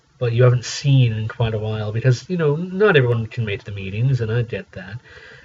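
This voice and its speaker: A man's medium-pitched voice with ordinary pitch variation, over noticeable background noise. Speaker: community radio DJ. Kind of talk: solo radio show retrospective, casual talk. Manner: conversational; hesitant, many fillers.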